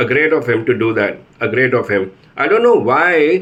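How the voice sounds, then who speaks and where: Lively intonation carries speech delivered at a moderate pace. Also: man. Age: 50s. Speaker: patient. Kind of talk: testimony. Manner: halting.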